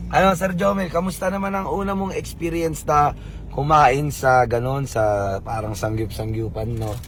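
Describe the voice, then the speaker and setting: A man speaks at a fairly slow pace with very wide pitch swings. Audible room echo and noticeable background noise accompany him. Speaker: vlogger. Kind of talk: casual vlog chat. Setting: restaurant in a mall.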